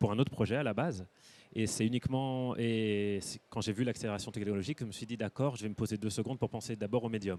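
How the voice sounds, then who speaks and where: A man talks at a very fast pace with fairly even intonation. His medium-pitched voice has a dark, mellow tone. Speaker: artist and photographer. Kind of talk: panel talk interview. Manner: hesitant with many fillers.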